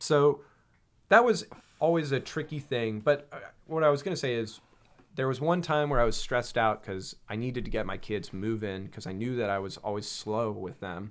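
In a normal speaking voice, a man with an American accent talks at a moderate pace and medium pitch with lively intonation. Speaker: aerospace engineer. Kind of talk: casual chat. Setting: studio.

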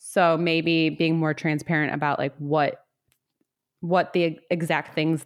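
A normal speaking voice at a fairly slow pace, against a quiet background. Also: woman. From US South. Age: 30s. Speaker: podcast host. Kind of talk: casual chat.

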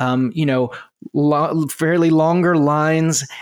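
A man's fairly high, monotone and flat voice with a General American accent at a very slow pace. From United States. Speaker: podcast host. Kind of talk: casual interview.

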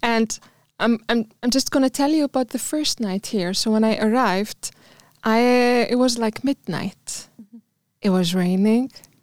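Pitch variation here is ordinary. The recording is very clean, with a silent background. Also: woman, fairly high pitch for a woman, moderate pace. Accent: Arabic. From Tunisia. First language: Arabic. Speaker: immigrant guest. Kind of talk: casual chat.

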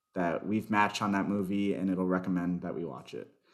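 Speaking at a moderate pace, a man with a plain, everyday voice and an American accent keeps a fairly low pitch with ordinary pitch variation. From US South, Miami, Florida. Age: 20s. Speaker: software developer. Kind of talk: interview.

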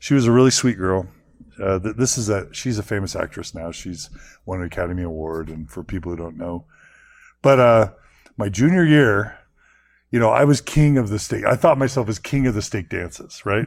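A man with an American accent talks in a normal speaking voice at a fairly low pitch and a fairly quick pace, with lively intonation. His loudness swings widely, and the recording is very clean with a silent background. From Texas. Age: 40s. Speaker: podcaster. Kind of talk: interview.

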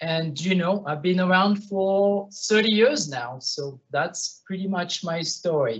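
This man talks at a very slow pace with hardly any pauses, in a French accent. His pitch is high and his intonation lively. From France, Bordeaux. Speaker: winemaker. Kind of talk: panel discussion.

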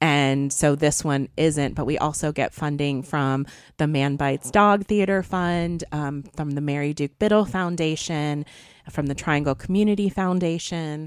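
The recording is very clean, with a silent background. Speech comes at a fairly slow pace with ordinary pitch variation. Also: woman, very deep, low pitch for a woman. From US South, eastern Wake County, North Carolina. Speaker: theatre festival director. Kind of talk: radio interview. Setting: radio studio.

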